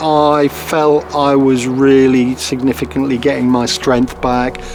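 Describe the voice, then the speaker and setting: Fairly slow speech against noticeable background noise. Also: man. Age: 50s. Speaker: deputy head teacher, cancer patient. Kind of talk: testimony.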